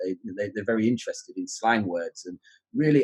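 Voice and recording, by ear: A man speaks at a fairly low pitch in a London accent. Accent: southern English, London area.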